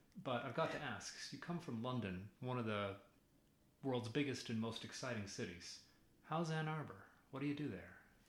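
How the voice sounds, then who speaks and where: Here is a medium-pitched male voice. It carries a somewhat breathy quality. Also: moderate pace. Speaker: university professor. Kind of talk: casual interview chat.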